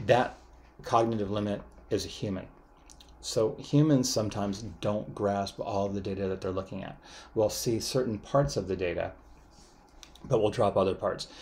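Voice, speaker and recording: A man speaks at a moderate pace with a fairly low pitch and fairly even intonation. His voice is somewhat breathy, and he takes long, frequent pauses. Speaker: university lecturer. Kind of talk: lecture. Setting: recorded online class video.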